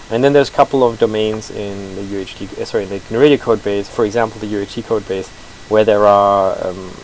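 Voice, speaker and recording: Mumbling at a very fast pace, a man with a fairly low pitch and fairly even intonation shows big swings in loudness against noticeable background noise. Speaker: open source software developer. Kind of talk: live-streamed code review. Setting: live stream, no audio feedback. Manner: hesitant, many fillers.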